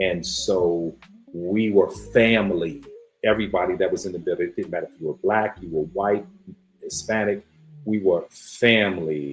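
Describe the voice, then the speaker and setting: Over music in the background, a man with a fairly low pitch and ordinary pitch variation talks at a moderate pace, his loudness swinging widely. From New York, Brooklyn. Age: 60s. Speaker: podcast host. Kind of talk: live-stream casual talk. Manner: animated.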